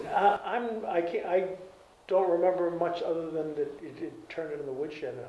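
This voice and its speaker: A man with an Eastern New England accent, high in pitch, with ordinary pitch variation at a moderate pace, amid noticeable background noise and audible room echo. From Cape Cod, Massachusetts. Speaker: retired garage and oil business owner. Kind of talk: oral history interview. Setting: library. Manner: halting.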